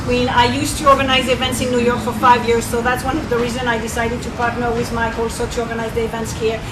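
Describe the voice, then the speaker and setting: A woman with a French accent speaks at a high pitch, with audible room echo and noticeable background noise. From France. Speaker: networking coach. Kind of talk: event talk. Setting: restaurant event with audience.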